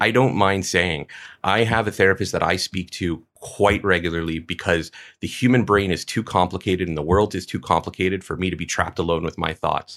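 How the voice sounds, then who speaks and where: A man talks at a fairly quick pace in a very deep, low voice with fairly even intonation, on a very clean recording with a silent background. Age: 30s. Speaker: HVAC designer and contractor. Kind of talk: casual chat.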